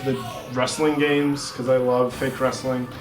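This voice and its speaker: A man with a fairly high pitch at a moderate pace, with audible room echo and music in the background. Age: 30s. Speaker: high school English teacher. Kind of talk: casual interview chat. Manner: casual, many fillers.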